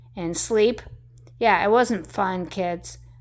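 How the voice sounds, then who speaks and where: This woman has an American accent and a medium pitch. She talks at a fairly slow pace with ordinary pitch variation. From Denver, Colorado. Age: 60s. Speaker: vlogger. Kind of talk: personal storytelling monologue. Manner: animated.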